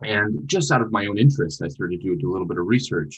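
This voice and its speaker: A man with an American accent speaks with vocal fry and very wide swings in pitch. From US Midwest, northern Minnesota. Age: 20s. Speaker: nonprofit founder. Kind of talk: interview.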